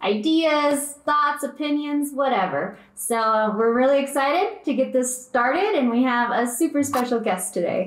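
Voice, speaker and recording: A woman speaks at a moderate pace, with audible echo from the room. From small town. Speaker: podcast co-host. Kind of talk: casual chat. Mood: upbeat, friendly. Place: home room.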